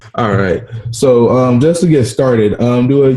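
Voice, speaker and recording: In an American accent, a man speaks with a dark, mellow tone and ordinary pitch variation. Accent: occasional Southern twang. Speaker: podcast host. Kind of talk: podcast interview.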